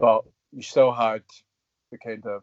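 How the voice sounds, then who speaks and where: A man with a west of Scotland accent at a fairly slow pace. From Scotland, Coatbridge (west coast). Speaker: actor. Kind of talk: casual interview.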